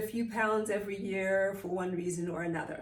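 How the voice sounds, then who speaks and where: A woman with a Zimbabwean accent speaks at a moderate pace and a fairly high pitch. Audible room echo and noticeable background noise are present. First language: Shona. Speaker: mindfulness teacher. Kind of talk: personal talk to camera.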